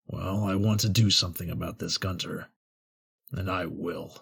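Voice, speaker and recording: A man puts on a raspy character voice with a very deep, low pitch. His intonation stays fairly even at a moderate pace. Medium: actual play. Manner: earnest, literal.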